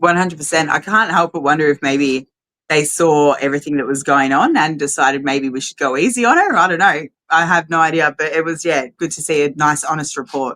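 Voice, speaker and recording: This voice has a bright, sharp tone and ordinary pitch variation, with an Australian accent. The pace is fairly quick. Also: woman, very deep, low pitch for a woman. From Australia (Melbourne). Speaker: rally organiser. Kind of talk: casual interview.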